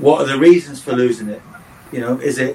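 With an English accent, a man speaks in fairly even intonation over noticeable background noise. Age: 60s. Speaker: football coach and former manager. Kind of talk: podcast interview.

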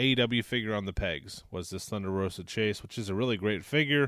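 A man talks at a fairly quick pace. He has an unremarkable speaking voice with a fairly low pitch. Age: 30s. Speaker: toy collecting podcast host. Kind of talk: casual chat.

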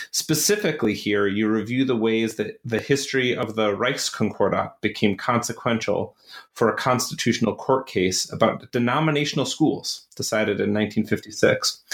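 A man with a plain, everyday voice, medium pitch, ordinary pitch variation and a moderate pace. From US, Buffalo, New York. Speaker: podcast host, academic. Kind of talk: interview.

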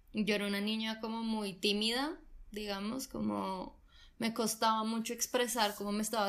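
Her pitch is medium and her pace moderate. This woman's delivery stays monotone and flat throughout. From Colombia. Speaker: actress. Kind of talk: casual chat.

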